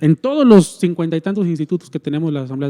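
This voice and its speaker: Speaking very fast with a Mexican accent, a man has a dark, mellow tone and a fairly high pitch with ordinary variation. The sound is dry and close, with no echo. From Mexico. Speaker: church minister. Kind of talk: casual chat.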